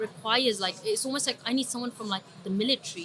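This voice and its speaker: A woman with a London accent, fairly high in pitch, her intonation fairly even, over noticeable background noise. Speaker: trader and trading psychology coach. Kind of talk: podcast interview. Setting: recorded at a trading summit.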